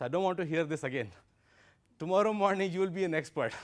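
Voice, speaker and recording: The speaker is a man. He talks with an Indian accent. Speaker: investor and workshop speaker. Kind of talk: lecture.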